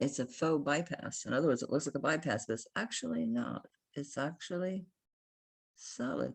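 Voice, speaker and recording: Animated in tone, a woman with an American accent and vocal fry talks at a moderate pace. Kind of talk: casual sales video.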